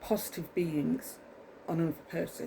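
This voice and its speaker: A woman with an English accent, fairly low in pitch, with ordinary pitch variation. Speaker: vlogger. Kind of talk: casual monologue to camera. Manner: fast; rambling, halting with many ums.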